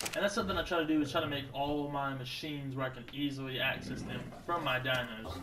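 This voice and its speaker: Loud and fairly high-pitched, a man speaks at a fairly quick pace with ordinary pitch variation, amid audible room echo and noticeable background noise. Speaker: gaming youtuber. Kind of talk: gameplay commentary. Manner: casual, joking. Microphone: new cheap twenty dollar mic with pop filter.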